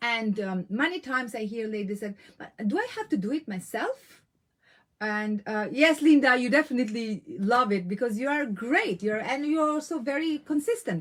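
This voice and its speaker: Speaking at a moderate pace with a non-native accent, a woman uses a high pitch and lively intonation. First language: not English. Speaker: women's business coach. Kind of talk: live online coaching talk. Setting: live stream. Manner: animated.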